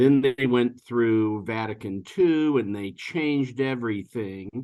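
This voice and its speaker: Speaking at a very slow pace, a man with an American accent keeps a medium pitch and ordinary pitch variation. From US Midwest, Ohio (Warren). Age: 60s. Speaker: podcast guest, lawyer. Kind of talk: casual interview, personal testimony. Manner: halting, many fillers.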